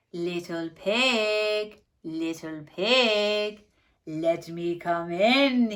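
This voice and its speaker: Putting on a character voice, a woman speaks very slowly at a medium pitch. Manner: growling.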